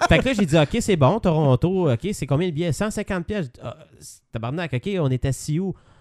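Lively intonation with a Quebec accent, dry and close with no echo, on a very clean recording with a silent background. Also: man, high pitch for a man, moderate pace. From Quebec, Saint-Jean-sur-Richelieu. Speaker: podcast co-host. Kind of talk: casual chat.

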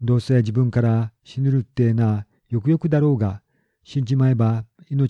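Fairly even intonation from a natural reading voice, with a quiet background

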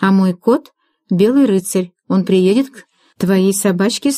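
This is reading aloud in a natural voice, with ordinary pitch variation. The background is quiet.

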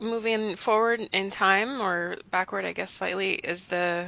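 A woman's unremarkable speaking voice with an American accent, medium in pitch, fairly even in intonation and fairly slow in pace. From United States. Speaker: podcast host. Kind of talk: casual chat.

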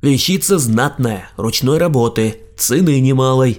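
Putting on a character voice, a man speaks at a medium pitch and a moderate pace. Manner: mocking parody, sales pitch.

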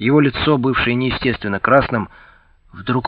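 In an unforced reading voice, the intonation stays fairly even.

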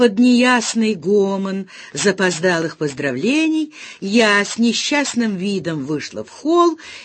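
Someone reads a passage aloud. The reading is plain.

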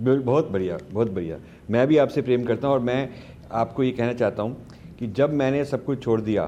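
A man with a dark, mellow tone, medium pitch and ordinary pitch variation. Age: 60s. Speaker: author and foundation head. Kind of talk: conversational interview.

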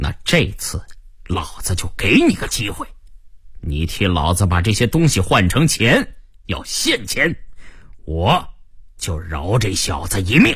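A put-on character voice at a fairly slow pace, with very wide pitch swings and a fairly bright tone. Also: man, low pitch for a man.

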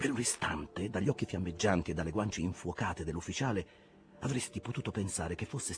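A natural reading voice with lively intonation

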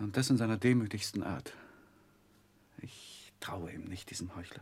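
Using a put-on character voice, a man speaks low with a husky, rough edge and a slightly mellow tone, at a moderate pace with ordinary pitch variation.

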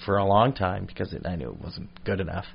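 A man with an American accent talks at a moderate pace in a fairly low pitch. His intonation stays monotone and flat. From British Columbia, Canada (Victoria). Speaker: stand-up comedian. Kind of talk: casual chat. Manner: rambling.

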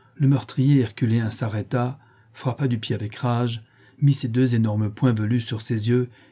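Fairly even intonation in plain reading aloud.

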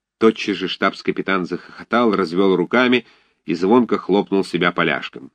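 A natural reading voice with ordinary pitch variation, against a quiet background.

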